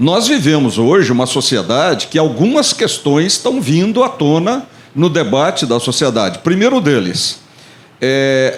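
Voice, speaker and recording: The man's pitch swings very widely. His pace stays moderate. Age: 60s. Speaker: business support agency director. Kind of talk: panel talk.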